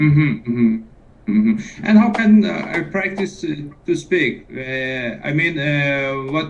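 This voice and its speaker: A man with a fairly high pitch talks very slowly, his intonation lively. Audible room echo and noticeable background noise are present. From Iran. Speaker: caller, English learner. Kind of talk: casual chat. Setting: Skype call. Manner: halting, many hesitations.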